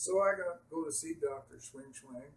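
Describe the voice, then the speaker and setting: A somewhat breathy man with a fairly high pitch. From Canada. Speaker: patient telling his malpractice story. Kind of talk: personal testimony.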